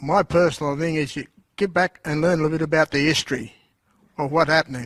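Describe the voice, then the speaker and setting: Talking at a fairly quick pace, a man with an Australian accent has a fairly high pitch and fairly even intonation. The recording is very clean and dry, with a silent background and a close sound with no echo. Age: 70s. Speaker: audience member. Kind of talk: audience comment at Q&A. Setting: auditorium with audience. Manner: loud.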